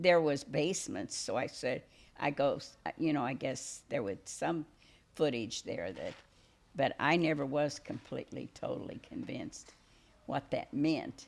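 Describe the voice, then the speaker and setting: A woman with a rural Missouri accent at a fairly slow pace, with long, frequent pauses. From Missouri Lead Belt region. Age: 80s+. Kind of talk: interview answer. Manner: hesitant, many fillers.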